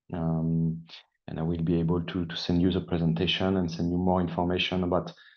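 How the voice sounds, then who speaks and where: This man talks in a French accent. His pitch is very deep and low. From France. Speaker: sales engineer. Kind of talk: webinar presentation.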